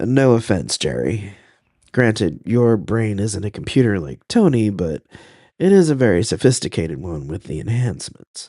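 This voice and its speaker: Putting on a character voice, a man speaks at a moderate pace in a raspy, fairly low voice that swings very widely in pitch. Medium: read story. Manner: dry, wry.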